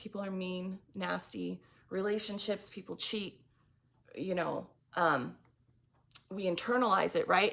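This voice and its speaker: A woman speaks in a shaky voice at a moderate pace. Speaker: tarot reader. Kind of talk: tarot reading monologue. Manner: halting.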